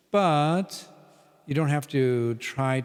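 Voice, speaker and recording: His intonation is lively. The background is silent, and the recording is very clean. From US Midwest. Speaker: English teacher and performer. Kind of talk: casual podcast conversation.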